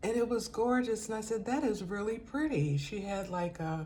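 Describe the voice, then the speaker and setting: With audible room echo, a woman talks at a moderate pace in a dark, mellow, somewhat breathy voice. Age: 70s. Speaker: lifestyle vlogger. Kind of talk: casual vlog monologue. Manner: conversational, with fillers.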